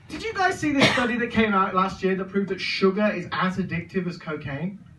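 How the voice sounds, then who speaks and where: A man with a high pitch uses a raised, projected voice and lively intonation at a fairly quick pace. Audible room echo and noticeable background noise fill the recording. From English Midlands, Birmingham. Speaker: stand-up comedian. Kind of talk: stand-up. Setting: stage with audience.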